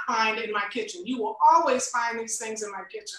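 With a raised, projected voice, a woman speaks in very wide pitch swings. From Tampa, Florida. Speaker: cooking show host and producer. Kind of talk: interview. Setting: video call.

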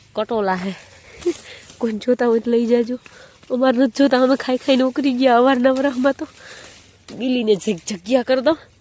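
Against noticeable background noise, a woman with a high pitch and fairly even intonation is heard in a dry, close sound with no echo. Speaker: vlogger. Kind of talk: casual chat.

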